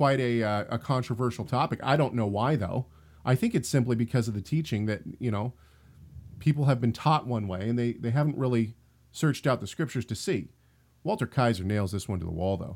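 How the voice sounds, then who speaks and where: A man with an American accent speaks fairly quickly at a medium pitch with ordinary pitch variation, on a very clean recording with a silent background. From Washington State, US. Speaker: podcast host, Bible teacher. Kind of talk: casual religious discussion. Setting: live-streamed recording with chat room.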